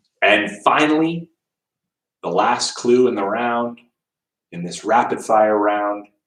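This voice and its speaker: Someone with a Canadian accent speaks with long, frequent pauses, big swings in loudness and ordinary pitch variation. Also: man, medium pitch for a man. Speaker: quiz host. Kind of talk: livestream trivia quiz hosting. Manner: fast.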